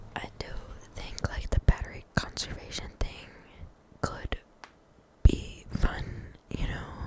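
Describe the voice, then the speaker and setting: Whispering at a very slow pace with long, frequent pauses, a woman makes big swings in loudness over noticeable background noise. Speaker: ASMR creator. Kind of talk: casual talk to camera. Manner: whispered.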